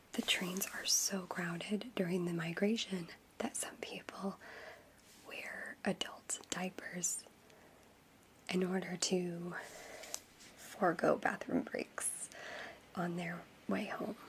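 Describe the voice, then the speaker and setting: A woman speaks very slowly at a medium pitch, with long, frequent pauses. Her voice is somewhat breathy, with monotone, flat intonation. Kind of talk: ASMR soft-spoken fun-facts talk to camera.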